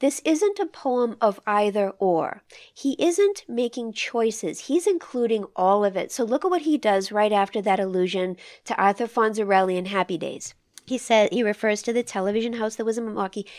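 An unremarkable speaking voice from a woman with an American accent, fairly high pitch and lively intonation at a moderate pace, on a very clean recording with a silent background. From not from the Midwest. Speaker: podcast host and poetry reader. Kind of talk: poetry discussion and reading aloud.

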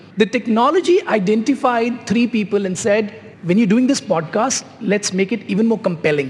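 Lively intonation against noticeable background noise. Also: man. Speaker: CEO, panel guest. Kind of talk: panel discussion, live.

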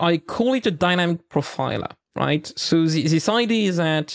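In a French accent, a man speaks at a moderate pace and a fairly high pitch, on a very clean recording with a silent background and a dry, close sound with no echo. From eastern France. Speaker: site reliability engineer. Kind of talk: interview.

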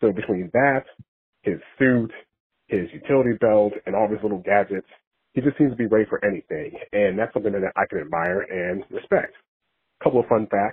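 With an American accent, a man in an unremarkable speaking voice talks at a fairly quick pace and a fairly low pitch. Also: ordinary pitch variation. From Dallas, Texas. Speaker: caller. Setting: phone call.

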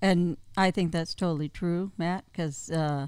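A woman with a fairly low pitch speaks in a normal speaking voice with ordinary pitch variation. The recording is very clean with a silent background. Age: 50s. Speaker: guest, host's aunt. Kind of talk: casual chat.

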